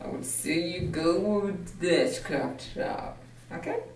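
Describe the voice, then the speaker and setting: A woman speaks in a fairly low voice, with audible room echo and light background noise. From Africa. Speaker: fitness vlogger. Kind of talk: try-on haul review. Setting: outdoors in a park. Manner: animated. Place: home room. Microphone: camera far.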